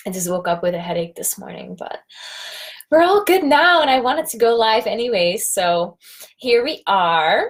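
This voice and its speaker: A woman speaks with very wide pitch swings and big swings in loudness. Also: moderate pace. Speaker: life coach. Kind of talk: live stream talk. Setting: live video stream. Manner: casual, hesitant with fillers.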